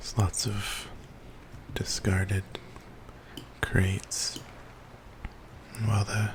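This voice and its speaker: A whispering voice moves at a very slow pace with long, frequent pauses. Noticeable background noise runs underneath. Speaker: ASMR channel host. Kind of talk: gaming walkthrough commentary. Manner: soft-spoken, whispering, relaxing.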